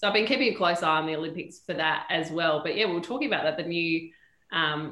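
A woman with an Australian accent. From Perth, Western Australia. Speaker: sports TV presenter and reporter. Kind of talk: casual interview chat. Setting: studio.

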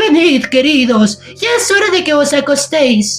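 A put-on character voice comes through high-pitched and shaky at a fairly slow pace. Faint music plays in the background. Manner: calling out.

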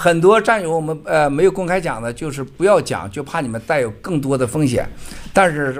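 This man has a normal speaking voice with fairly high pitch. His intonation is lively and his pace moderate. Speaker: event keynote speaker. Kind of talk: speech to event audience.

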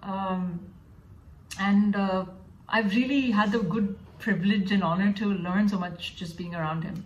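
A woman speaks at a moderate pace and a medium pitch, somewhat breathy, with fairly even intonation, long and frequent pauses, and audible room echo. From Dubai, then US from age 12. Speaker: classical flute player. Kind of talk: interview. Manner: hesitant, many fillers (uh, um).

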